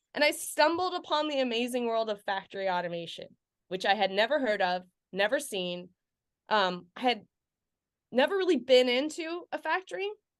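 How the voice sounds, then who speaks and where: A woman's high voice at a moderate pace, with very wide pitch swings and long, frequent pauses, over a quiet background. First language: not English. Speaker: sales engineer, podcast guest. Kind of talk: casual interview. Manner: chatty, with many fillers.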